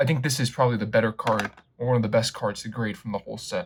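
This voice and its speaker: A man is speaking. His voice is somewhat breathy. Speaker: card collector YouTuber. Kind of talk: unboxing commentary. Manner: casual, with fillers.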